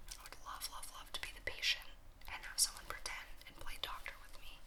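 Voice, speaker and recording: Whispering from a woman in a relaxed tone, with noticeable background noise. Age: 20s. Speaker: ASMR content creator. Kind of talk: casual talk to camera, Q&A. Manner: soft, relaxed.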